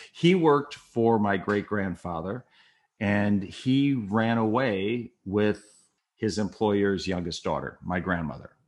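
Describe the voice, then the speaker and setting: A man with an American accent speaks very slowly at a fairly low pitch with ordinary pitch variation. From Minnesota, US Midwest. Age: 60s. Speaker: retired TV news writer, memoir author. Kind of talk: casual interview storytelling. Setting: podcast interview. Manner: animated.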